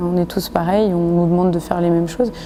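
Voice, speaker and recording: Against noticeable background noise, a woman speaks in a fairly low voice with monotone, flat intonation. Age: 20s. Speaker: volunteer firefighter. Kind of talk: interview testimony. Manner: hesitant, with fillers.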